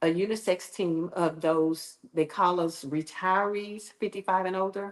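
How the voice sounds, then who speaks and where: Using an unremarkable speaking voice, a woman talks fairly slowly at a medium pitch with fairly even intonation. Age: 60s. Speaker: dance and fitness instructor. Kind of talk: interview. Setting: studio.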